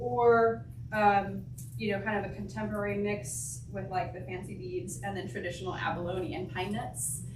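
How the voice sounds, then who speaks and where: In an American accent, a woman speaks amid noticeable background noise and audible room echo. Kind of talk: talk to a church group. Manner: hesitant, many fillers.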